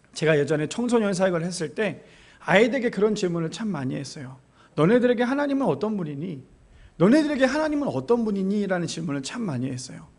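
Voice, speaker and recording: Very fast and high-pitched, a man talks with very wide pitch swings. Room echo is audible. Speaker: pastor. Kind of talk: sermon.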